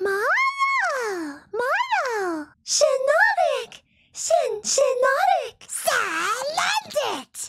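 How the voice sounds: A woman's put-on character voice, extremely high-pitched, at a very slow pace with long, frequent pauses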